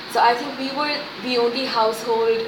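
A woman with fairly even intonation, plus noticeable background noise and audible room echo. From India, Pune. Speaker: children's writer. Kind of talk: interview.

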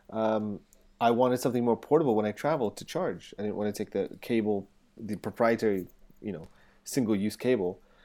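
On a very clean recording with a silent background, a man with a fairly low, dark, mellow voice speaks at a fairly quick pace with ordinary pitch variation and big swings in loudness. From England. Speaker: portrait photographer and co-host. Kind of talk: casual chat.

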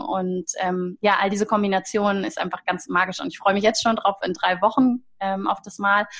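A somewhat breathy woman's voice with fairly even intonation and a moderate pace. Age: 30s. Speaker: holistic coach. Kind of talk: interview.

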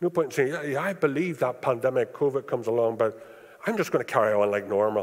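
With a Northern Irish accent, a man of fairly high pitch races along at a very fast pace with lively intonation and hardly any pauses. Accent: Northern Irish (Belfast). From Northern Ireland (East Belfast). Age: 60s. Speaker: preacher. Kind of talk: sermon. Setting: church.

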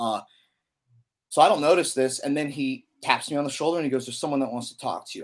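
A man at a medium pitch, talking at a fast pace

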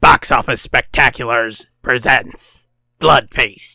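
A man does a raspy put-on character voice at a medium pitch. He speaks at a fairly slow pace in a dry, close sound with no echo. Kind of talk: announcer, promotional. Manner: dramatic, booming.

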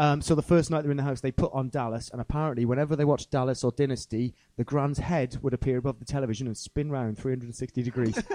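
Dry and close with no echo, a man's medium-pitched, dark, mellow voice runs at a very fast pace with hardly any pauses. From South Wales. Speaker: rapper and musician. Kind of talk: casual chat. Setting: stage with audience.

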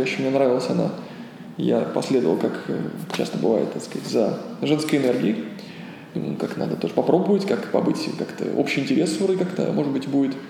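Amid noticeable background noise and audible room echo, a man talks very fast but with long, frequent pauses. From Russia, Ulyanovsk. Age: 30s. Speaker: yoga teacher. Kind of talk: interview. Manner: halting.

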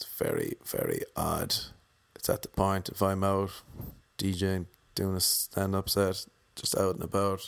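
A man mumbles quietly with an Irish accent. He talks at a fairly slow pace with long, frequent pauses. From Ireland. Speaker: stand-up comedian. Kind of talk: casual solo monologue. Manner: mumbles, speaks quietly.

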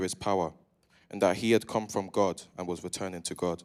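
A man's ordinary speaking voice, fairly low in pitch, at a fairly quick pace with fairly even intonation, in a very clean recording with a silent background. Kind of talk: reading scripture aloud. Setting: church.

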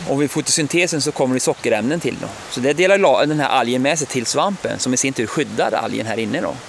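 A man at a very fast pace with hardly any pauses, ordinary pitch variation, and noticeable background noise. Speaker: forest biologist. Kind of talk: casual interview. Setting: outdoors.

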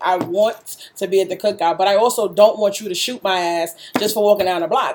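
Speaking in a New York accent, a woman with a medium pitch is heard over noticeable background noise. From Brooklyn, New York (East New York). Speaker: radio host. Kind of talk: casual chat. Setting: laptop recording, makeshift setup.

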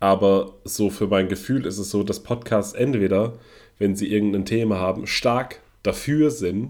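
A man's normal speaking voice, fairly low in pitch, fairly slow, with ordinary pitch variation and a very clean recording over a silent background. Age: 40s. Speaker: podcast co-host. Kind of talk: casual chat.

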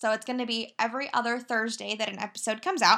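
On a very clean recording with a silent background, a woman uses a raised, projected voice with a bright, sharp tone at a fairly quick pace. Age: 20s. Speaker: podcast host. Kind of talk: solo podcast monologue. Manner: casual, chatty.

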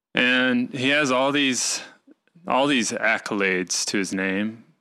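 A man with an American accent speaks at a very slow pace in a bright, sharp tone with ordinary pitch variation, on a very clean recording with a silent background. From Arkansas, US South. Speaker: podcast host. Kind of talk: casual chat.

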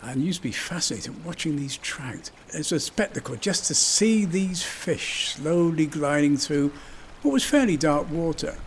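A man with a West Country accent, fairly high pitch and ordinary pitch variation, at a moderate pace amid noticeable background noise. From southwest England, Somerset (Yeovil). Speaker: local resident reminiscing. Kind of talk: personal reminiscence.

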